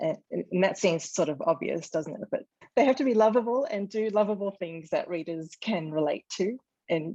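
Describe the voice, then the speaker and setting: A woman with an Australian accent is heard in a dry, close recording with no echo. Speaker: novelist. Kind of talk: interview. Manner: hesitant, many fillers.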